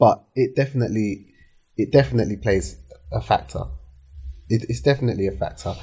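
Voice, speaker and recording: A man with a London accent, very fast pace with long, frequent pauses, fairly low pitch with very wide swings, dark, mellow tone and vocal fry. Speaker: entrepreneur, hair care brand founder. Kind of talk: casual interview chat. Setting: studio.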